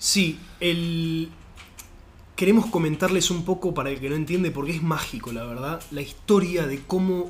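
Speaking fairly slowly, the man uses a high pitch with a normal range of pitch movement. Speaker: podcast host. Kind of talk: casual chat.

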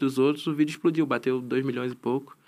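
A man talks at a very fast pace in a slight Florianópolis accent. His intonation is monotone and flat. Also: very clean recording, silent background. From Florianópolis, Santa Catarina, Brazil. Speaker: professional esports player. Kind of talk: casual chat. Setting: studio.

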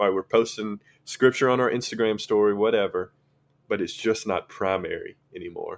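A man speaks with a strong Southern US accent. The recording is very clean, with a silent background. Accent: thick Southern drawl. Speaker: high school ministry intern. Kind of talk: casual podcast chat about faith.

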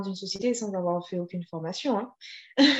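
At a moderate pace, a woman with a plain, everyday voice talks with ordinary pitch variation. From Guadeloupe. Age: 30s. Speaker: vegan bakery founder. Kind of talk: interview.

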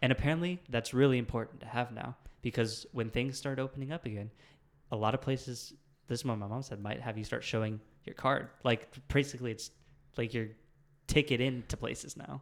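Speaking at a fairly quick pace in an ordinary speaking voice, a man holds a medium pitch with fairly even intonation, on a very clean recording with a silent background. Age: 20s. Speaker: podcast co-host and college student. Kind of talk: casual chat.

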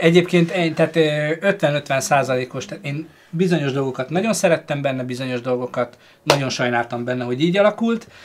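A man with a fairly high voice talks very fast. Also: ordinary pitch variation. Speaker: streamer and film discussion host. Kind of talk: casual live stream chat.

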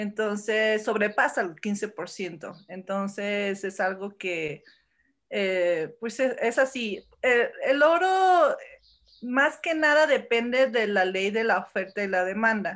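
On a very clean recording with a silent background, a woman uses lively intonation at a medium pitch. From born in Los Angeles, moved to Mexico as teen. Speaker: entrepreneur in gold investment. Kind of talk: podcast interview. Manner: hesitant, many fillers.

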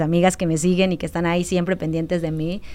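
A woman at medium pitch talks at a very fast pace. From Mexico, Quintana Roo near Campeche border. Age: 30s. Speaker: activist. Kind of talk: interview.

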